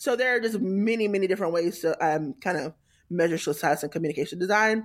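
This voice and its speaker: A woman speaks in a plain, everyday voice with an American accent, fairly low in pitch and at a fairly quick pace. Her pitch varies in an ordinary way, and the recording is very clean with a silent background. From US South, Tallahassee, North Florida. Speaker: experience designer. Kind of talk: interview.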